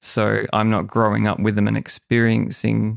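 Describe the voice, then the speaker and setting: The pace is moderate. A man talks with an Australian accent. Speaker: podcast host. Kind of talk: interview conversation.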